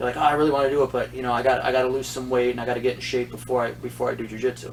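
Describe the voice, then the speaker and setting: A male speaker rattles along at a very fast pace while noticeable background noise runs underneath. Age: 50s. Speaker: jiu-jitsu instructor and podcast host. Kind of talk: casual chat.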